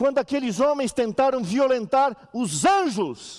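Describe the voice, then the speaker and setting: On a very clean recording with a silent background, a man with an extremely high pitch talks at a fairly slow pace with lively intonation. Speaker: pastor. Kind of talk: sermon. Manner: animated.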